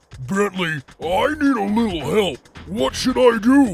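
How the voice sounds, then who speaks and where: Over faint background music, a man does a put-on character voice, pitched high and delivered at a fairly slow pace. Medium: audio drama.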